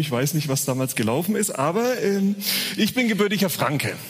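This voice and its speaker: Speaking at a fairly quick pace, a man uses lively intonation. Noticeable background noise and audible room echo are present. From Franconia, Bavaria (Uffenheim). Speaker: guest preacher. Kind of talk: sermon.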